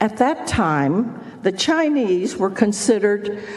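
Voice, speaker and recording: Over noticeable background noise, a woman with an American accent speaks at a medium pitch and a very slow pace, her intonation lively. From Texas, Houston. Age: 80s+. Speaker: former state legislator. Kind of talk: testimony. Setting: senate committee hearing.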